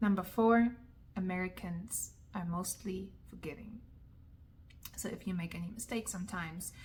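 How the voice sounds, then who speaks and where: Somewhat breathy, a woman speaks with fairly even intonation and long, frequent pauses. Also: medium pitch for a woman, moderate pace. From Germany. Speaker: vlogger. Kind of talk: advice vlog.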